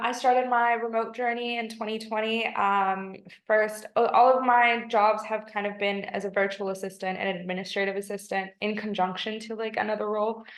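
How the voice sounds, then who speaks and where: In an American accent, a woman speaks at a fairly high pitch. Her intonation is monotone and flat. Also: moderate pace, hardly any pauses. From US, Washington D.C. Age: 20s. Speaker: virtual assistant job candidate. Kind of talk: job interview. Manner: hesitant, many fillers.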